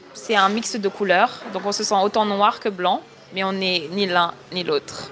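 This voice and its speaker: A woman at a fairly slow pace with fairly even intonation, over noticeable background noise. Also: medium pitch for a woman. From Senegal until four, then raised in France. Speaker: TikTok creator. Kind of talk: interview. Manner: hesitant, many fillers.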